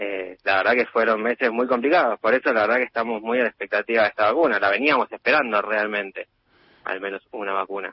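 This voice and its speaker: A man with a Rioplatense accent speaks very fast at a medium pitch. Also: ordinary pitch variation. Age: 30s. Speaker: intensive care doctor. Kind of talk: radio interview.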